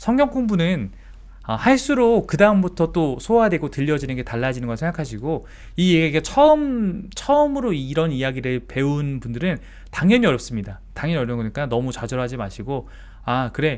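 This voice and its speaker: On a very clean recording with a silent background, a man with a fairly high pitch makes very wide pitch swings. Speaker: pastor. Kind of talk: Bible study lecture. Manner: fast.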